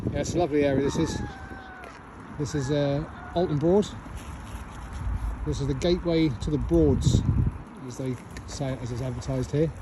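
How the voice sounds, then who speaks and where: The speech is fairly quick yet broken by long, frequent pauses, relaxed in tone with ordinary pitch variation, and there is noticeable background noise and audible room echo. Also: man, fairly high pitch for a man. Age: 60s. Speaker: vlogger. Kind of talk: casual vlog to camera. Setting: outdoors. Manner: relaxed, hesitant with fillers.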